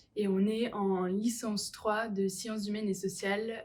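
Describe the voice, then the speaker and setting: A woman speaks over noticeable background noise. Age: 20s. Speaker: university student. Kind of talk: student testimony.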